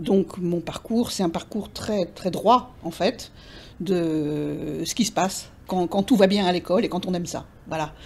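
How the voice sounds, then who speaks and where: Using vocal fry at a fairly low pitch, a woman speaks at a very slow pace with ordinary pitch variation. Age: 60s. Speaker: retired English teacher and literary interpreter. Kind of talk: interview monologue. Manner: hesitant, many fillers and repetitions.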